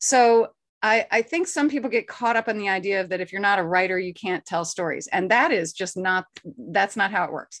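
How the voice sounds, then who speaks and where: A woman's medium-pitched voice with an American accent, a fairly quick pace and lively intonation. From US South. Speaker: actor. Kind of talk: interview. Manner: animated.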